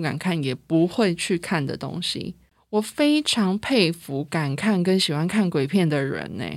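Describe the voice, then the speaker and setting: On a very clean recording with a silent background, a woman speaks at a fairly low pitch. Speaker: podcast host. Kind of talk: casual solo monologue.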